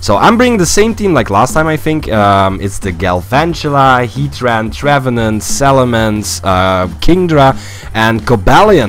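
Music plays behind a man speaking at a fairly slow pace. His pitch swings very widely. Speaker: game commentator. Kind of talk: gameplay commentary.

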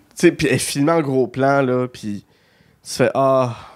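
Fairly slow and fairly even in intonation, this man's delivery comes in a normal speaking voice at medium pitch. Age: 30s. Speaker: podcast host. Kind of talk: casual chat.

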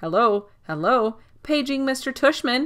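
A female-sounding voice puts on a character voice at a high pitch on a very clean recording with a silent background. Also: fairly slow pace. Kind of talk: fake, comedic.

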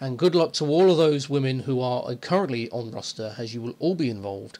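A man talks at a fairly quick pace. He has an ordinary speaking voice at medium pitch. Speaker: online wrestling federation owner. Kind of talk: announcement to listeners.

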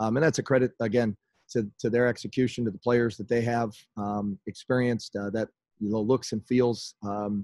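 A man speaks at a moderate pace in a dark, mellow tone with monotone, flat intonation. The sound is dry with no echo, over a quiet background. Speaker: basketball coach. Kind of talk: press conference answer. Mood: disappointed, measured. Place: home room. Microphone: video call.

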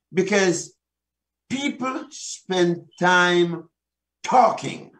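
Lively intonation and a warm tone from a man. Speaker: pastor giving marriage and family teaching. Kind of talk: sermon-style teaching talk. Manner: warm, preacherly, engaging the audience. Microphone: webcam.

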